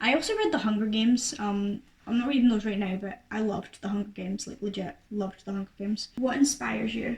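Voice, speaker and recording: Amid noticeable background noise, a woman talks at a very fast pace with hardly any pauses. Her pitch is fairly high, with ordinary variation. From Scotland. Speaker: YouTuber and singer. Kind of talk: casual Q&A to camera. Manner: chatty, many fillers.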